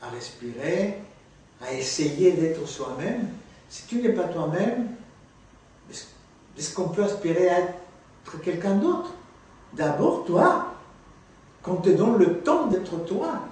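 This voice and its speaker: A man with a Spanish accent and a high pitch, very slow with long, frequent pauses and lively intonation, amid audible room echo and noticeable background noise. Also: big swings in loudness. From Guatemala. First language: Spanish (speaking French). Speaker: actor and theatre teacher. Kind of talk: interview. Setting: filmed interview.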